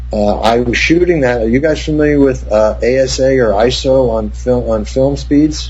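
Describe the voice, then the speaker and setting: Noticeable background noise sits behind a man with an American accent. He talks at a moderate pace with very even loudness and hardly any pauses. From New Jersey. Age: 60s. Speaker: cinematographer. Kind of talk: interview.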